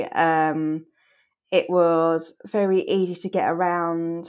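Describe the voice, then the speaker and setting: In an English accent, a woman speaks with a dark, mellow tone. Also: quiet background. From England. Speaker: podcast co-host. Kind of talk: casual chat.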